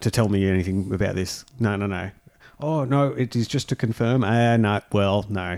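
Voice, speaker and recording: An ordinary speaking voice from a man, fairly low in pitch, with ordinary pitch variation at a moderate pace. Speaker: podcast host. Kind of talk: casual comedic banter reading news stories.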